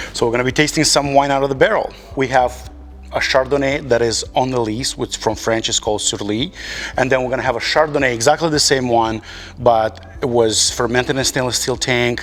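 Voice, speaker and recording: A man speaks with a Moldovan accent at a fairly quick pace. His intonation stays fairly even. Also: medium pitch for a man. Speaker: winemaker. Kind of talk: casual interview. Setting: winery barrel room.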